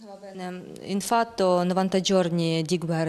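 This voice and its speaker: This woman speaks at a very slow pace with a fairly low pitch. Her intonation is monotone and flat. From western Ukraine, near Lviv; Ukraine. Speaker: journalist, news presenter. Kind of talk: TV news and interview. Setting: studio. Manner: halting in Italian. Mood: serious, calm. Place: studio. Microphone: handheld.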